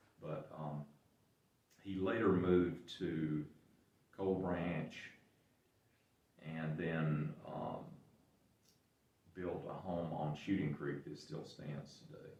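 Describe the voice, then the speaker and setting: In an Appalachian accent, a man with a very deep, low pitch and a dark, mellow tone speaks at a very slow pace with fairly even intonation, big swings in loudness, and long, frequent pauses, all with audible room echo. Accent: Southern Appalachian American. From western North Carolina. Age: 70s. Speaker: local business owner. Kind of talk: interview. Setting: museum. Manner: halting.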